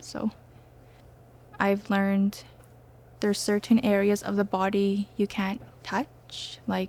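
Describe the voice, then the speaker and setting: This soft-spoken woman has a medium-pitched voice with a dark, mellow tone. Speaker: nursing student. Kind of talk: testimony. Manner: hesitant, with fillers.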